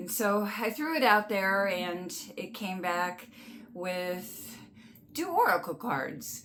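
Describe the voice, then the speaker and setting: Amid noticeable background noise and audible room echo, a woman with a medium pitch talks at a very slow pace with lively intonation. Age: 60s. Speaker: oracle card reader and channel host. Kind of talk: casual spiritual guidance talk to camera; guided breathing exercise. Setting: home studio with artwork behind her. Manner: halting, with fillers and restarts; gentle, calm.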